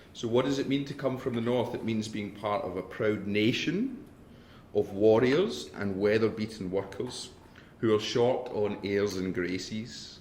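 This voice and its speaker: A man with a northern English accent speaks at a fairly slow pace with ordinary pitch variation. Audible room echo surrounds the voice. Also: fairly low pitch for a man. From northern England. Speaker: academic. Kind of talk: lecture.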